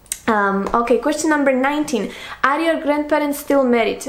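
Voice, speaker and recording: A woman's fairly quick speech with a non-native accent and ordinary pitch variation, over noticeable background noise. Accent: foreign. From Slovakia. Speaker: book youtuber. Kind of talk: casual monologue, Q&A tag video.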